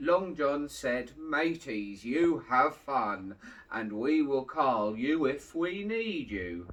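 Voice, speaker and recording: Very slow delivery from a man using a put-on character voice. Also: fairly high pitch for a man. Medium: read story. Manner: hearty.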